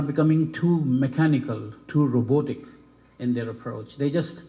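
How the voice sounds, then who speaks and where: A man's fairly high, somewhat breathy voice with a dark, mellow tone, ordinary pitch variation and a fairly slow pace. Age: 60s. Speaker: medical school dean / faculty. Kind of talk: ceremony speech.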